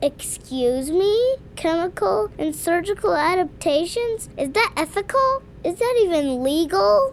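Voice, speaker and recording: Doing a put-on character voice, a woman talks at a fairly slow pace with hardly any pauses, her extremely high pitch swinging very widely over clear background noise. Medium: audio drama. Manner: sarcastic, blunt.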